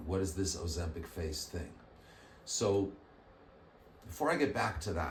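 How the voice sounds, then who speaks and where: A man with a very deep, low pitch speaks at a fairly slow pace with ordinary pitch variation. There is audible room echo. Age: 60s. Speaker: plastic surgeon. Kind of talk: educational explainer. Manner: casual conversational.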